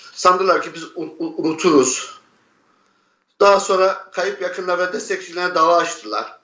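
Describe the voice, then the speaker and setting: A man speaks at a fairly slow pace with a high pitch and fairly even intonation. His long, frequent pauses carry audible room echo. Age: 50s. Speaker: relative of a disappeared person. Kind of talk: testimony; interview answer. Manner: halting. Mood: grieved, defiant. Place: home room. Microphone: earbuds.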